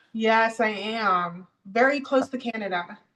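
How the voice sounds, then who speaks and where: A woman with a fairly high pitch speaks in a normal speaking voice. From US South (Miami and Georgia), born in Jamaica. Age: 40s. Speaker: interview guest. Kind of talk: casual interview.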